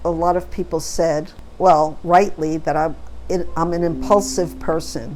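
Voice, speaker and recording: Audible room echo hangs around the voice. Delivery is fairly slow. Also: woman. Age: 70s. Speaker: vlogger. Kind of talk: casual monologue. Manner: halting.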